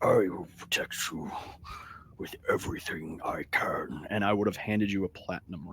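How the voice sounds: A man does a raspy put-on character voice at a moderate pace, his loudness swinging widely over light background noise.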